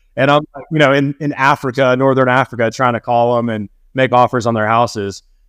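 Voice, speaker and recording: An ordinary speaking voice from a man with an American accent, medium in pitch, at a fairly quick pace with fairly even intonation, dry and close with no echo over a quiet background. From US South, Atlanta, Georgia. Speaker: private jet pilot and real estate investor. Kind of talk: casual interview chat.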